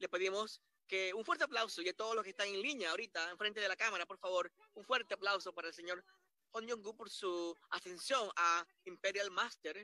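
A man's raised, projected voice, high in pitch and bright and sharp in tone, with ordinary pitch variation, a fairly quick pace, and a dry, close sound with no echo. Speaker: Spanish interpreter narrating a corporate awards ceremony. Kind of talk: live simultaneous interpretation. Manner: repetitive, halting phrasing.

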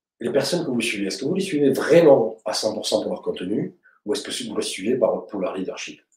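Audible room echo surrounds a man with a fairly low pitch and a slightly mellow tone. He speaks at a fairly quick pace with lively intonation.

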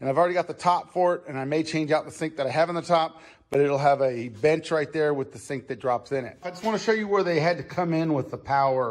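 A man talks at a fast pace with few pauses, his pitch fairly high for a man. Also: ordinary pitch variation.

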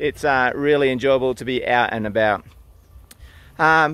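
A man at a moderate pace, bright and sharp in tone, with fairly even intonation and a dry sound with no echo. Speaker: author vlogger. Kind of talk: casual vlog chat. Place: open country. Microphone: phone near.

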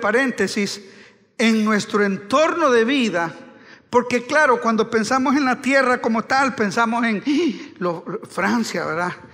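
Against a quiet background, a man with an extremely high pitch talks at a fairly slow pace in an animated tone, with ordinary pitch variation. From Honduras. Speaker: pastor. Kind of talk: sermon.

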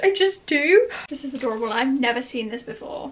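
The speaker is a woman. Her pitch moves through very wide swings. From England. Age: young. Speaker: vlogger. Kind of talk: vlog. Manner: animated. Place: home room. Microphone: phone near.

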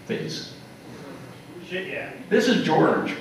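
A man speaks with an American accent. Strong room echo surrounds him, along with light background noise. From US South Central (Kansas, Oklahoma, Texas). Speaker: retired geologist. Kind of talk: lecture. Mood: relaxed, wry. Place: hall.

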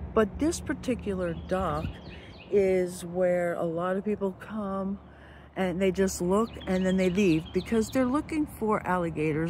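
At a moderate pace, a somewhat breathy woman speaks with ordinary pitch variation, the sound dry with no echo and light background noise. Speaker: RV travel vlogger. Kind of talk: casual vlog chat. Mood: relaxed, amused. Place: waterside. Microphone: phone near.

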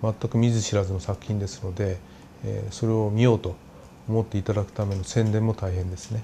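A man's fairly low, dark, mellow voice with fairly even intonation over light background noise. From Japan. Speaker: anime studio executive and producer. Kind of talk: interview; interview answer. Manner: frequent filler pauses. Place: office. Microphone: lapel.

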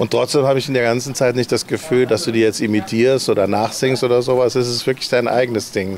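Talking at a very fast pace with hardly any pauses, a man keeps fairly even intonation and very even loudness, in a dry sound with no echo over light background noise. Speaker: living room concert host. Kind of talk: casual interview. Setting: livestream from a living room. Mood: cheerful, proud. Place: garden. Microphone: handheld.

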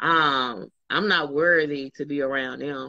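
Over a quiet background, a woman's bright, sharp tone comes through in a dry sound with no echo. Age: 40s. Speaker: fitness group leader; motivational vlogger. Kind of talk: casual chat. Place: home room. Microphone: phone near.

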